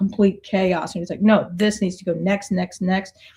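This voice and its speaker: Fairly even intonation with a dark, mellow, somewhat breathy tone. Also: woman. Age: 60s. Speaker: artist and coach. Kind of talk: podcast interview. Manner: halting.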